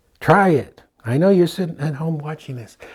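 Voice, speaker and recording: With a Brooklyn accent, a man speaks at a moderate pace in a dark, mellow tone. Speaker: painting instructor. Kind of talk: tutorial. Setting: studio. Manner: animated.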